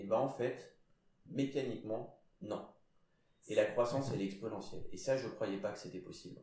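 A man's dark, mellow, somewhat breathy voice at a moderate pace, with long, frequent pauses and audible room echo. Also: medium pitch for a man, ordinary pitch variation. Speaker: CEO of a PR agency. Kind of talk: casual interview.

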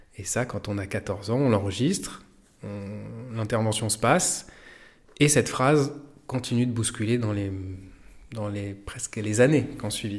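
Long, frequent pauses break up a man's fairly slow speech, delivered at a fairly low pitch with ordinary pitch variation. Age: 40s. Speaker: physiotherapist and acupuncturist. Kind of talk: personal testimony. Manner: halting.

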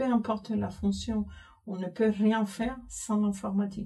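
A woman's very slow speech with a Spanish accent. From Cuba. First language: Spanish (speaking French). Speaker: IT systems manager. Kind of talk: interview.

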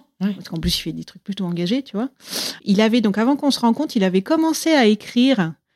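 The sound is dry and close, with no echo. A woman speaks with lively intonation. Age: 40s. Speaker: interviewee telling her love story. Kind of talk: personal testimony interview. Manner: hesitant, many fillers.

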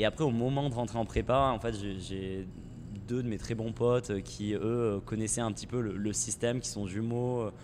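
Speech proceeds at a moderate speed. Its intonation is fairly even. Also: man, medium pitch for a man. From southern France, near Montpellier. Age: 20s. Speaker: startup co-founder. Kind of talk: podcast interview. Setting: in a shop. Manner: hesitant, many fillers.

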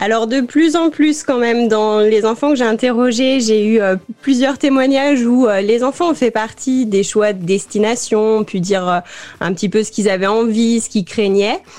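The voice belongs to a woman and sits fairly high. Background noise is clearly audible. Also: ordinary pitch variation, moderate pace. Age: 20s. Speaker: youth information officer and children's podcast creator. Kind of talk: live radio interview.

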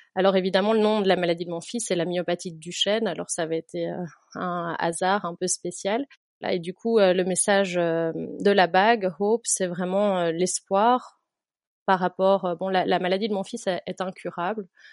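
A woman at a medium pitch with fairly even intonation and a fairly slow pace, in a dry, close sound with no echo. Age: 30s. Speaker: teacher and patient-association volunteer. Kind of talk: interview. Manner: halting.

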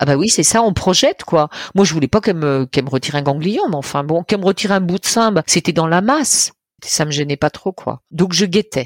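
Pitched very deep and low, a woman speaks at a fairly quick pace with lively intonation. The sound is dry and close, with no echo. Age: 60s. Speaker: storyteller and cancer survivor. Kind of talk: personal testimony, telling her cancer story like a tale. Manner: animated, playful and humorous, dramatic with vivid imagery; expressive storyteller with laughing asides.

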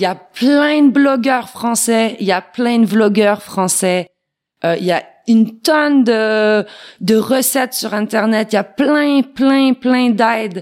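Very slow speech from a woman, fairly high in pitch, with normal rise and fall. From Quebec. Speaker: plant-based meat maker. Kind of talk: interview.

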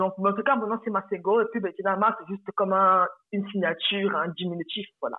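Spoken at a fairly quick pace, this is a plain, everyday voice. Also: woman, medium pitch for a woman, fairly even intonation. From Republic of the Congo. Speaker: personal finance coach. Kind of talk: interview.

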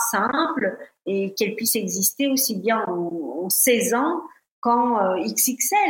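Her intonation is lively. This woman talks very slowly. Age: 50s. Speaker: fashion influencer. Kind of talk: interview.

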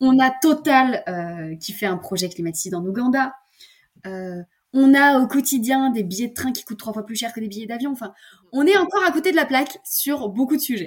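Her pace is moderate and her voice high. This woman's pitch swings very widely. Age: 20s. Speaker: eco-lifestyle content creator. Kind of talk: casual interview chat. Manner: hesitant, many fillers and repetitions.

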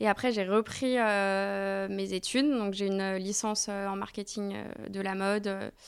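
Very slowly, a woman speaks at medium pitch. The recording is very clean with a silent background. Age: 30s. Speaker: agency co-founder and talent manager. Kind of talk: casual interview.

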